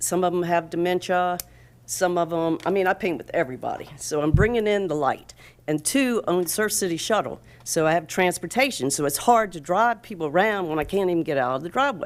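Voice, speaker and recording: A woman speaks at a fairly quick pace with a fairly low pitch and lively intonation. The recording is very clean, with a silent background. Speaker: town council candidate. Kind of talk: campaign speech at candidate forum. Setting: town hall with audience. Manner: animated.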